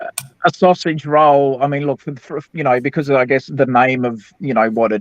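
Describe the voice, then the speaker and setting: An Australian-accented man at a moderate pace, in a dry, close sound with no echo. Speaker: livestream panelist. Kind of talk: casual chat. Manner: hesitant, many fillers.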